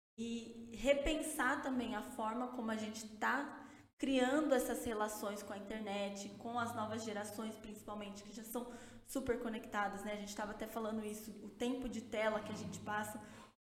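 A woman with a fairly high pitch talks at a moderate pace, her intonation fairly even but her loudness swinging widely. Noticeable background noise and audible room echo surround her voice. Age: 20s. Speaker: music industry communications strategist. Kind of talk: interview. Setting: studio.

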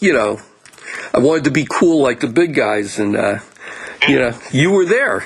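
A man with an American accent talks at a moderate speed, his pitch varying in an ordinary way, while noticeable background noise carries on behind him. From New Jersey. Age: 60s. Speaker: podcast host. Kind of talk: interview. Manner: halting.

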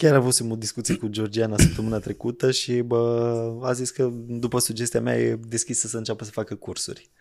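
On a very clean recording with a silent background, a man with an unremarkable speaking voice talks at a fairly quick pace with hardly any pauses, a medium pitch and fairly even intonation. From Romanian provinces. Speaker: podcast host. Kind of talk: casual chat.

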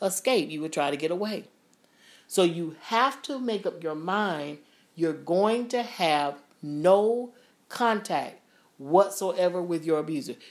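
A woman speaks in a normal speaking voice with a fairly low pitch. Her intonation is lively and her pace fairly slow. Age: 50s. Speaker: podcast host. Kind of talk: casual chat.

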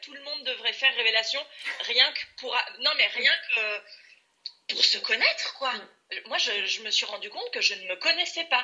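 A woman with a high pitch speaks at a fairly slow pace, her voice making very wide pitch swings and big swings in loudness. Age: 30s. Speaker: coaching client in career change. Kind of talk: testimony.

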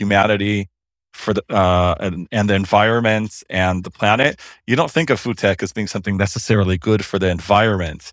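With a plain, everyday voice, a man talks at a fairly quick pace in a fairly low pitch on a very clean recording with a silent background. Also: dry, close sound with no echo. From US, Los Angeles. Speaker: lawyer. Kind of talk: interview.

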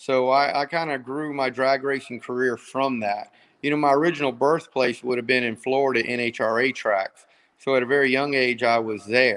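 Against a quiet background, a man with a normal speaking voice talks at a moderate pace, medium in pitch, with fairly even intonation. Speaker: drag racer. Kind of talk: casual interview.

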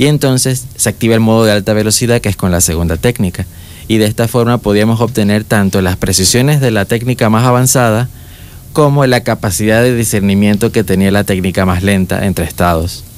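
A man with an ordinary speaking voice, fairly low in pitch, fairly quick in pace, with ordinary pitch variation and very even loudness. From Panama, David (Chiriquí). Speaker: young engineer. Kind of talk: interview. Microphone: far from the mic.

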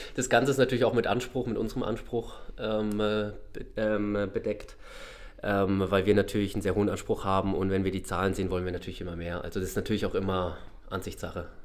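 A man with a fairly low pitch, fairly even intonation and a very fast pace. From Baden, southwest Germany (Freiburg). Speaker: shopping center manager. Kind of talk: podcast interview. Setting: studio.

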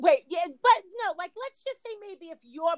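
The sound is dry and close with no echo, and the speech moves at a moderate pace. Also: woman. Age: 50s. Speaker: podcast co-host. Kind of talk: casual chat.

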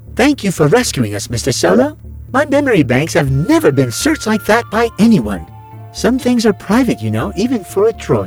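Someone uses a put-on character voice at a moderate pace. Clear music plays in the background. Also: man, fairly high pitch for a man. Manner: fretful, prissy, complaining.

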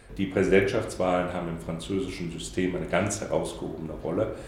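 The speech moves at a moderate pace with fairly even intonation, audible room echo and noticeable background noise. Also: man. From Saarland, Germany. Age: 50s. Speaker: diplomat. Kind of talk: interview. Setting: in-person interview on camera. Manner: hesitant with many fillers.

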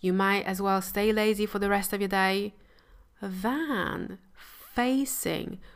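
In a very clean recording with a silent background, a woman speaks in a warm tone at a medium pitch. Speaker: mindset coach and podcast host. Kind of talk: solo podcast monologue about mindset. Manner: warm, compassionate, motivational.

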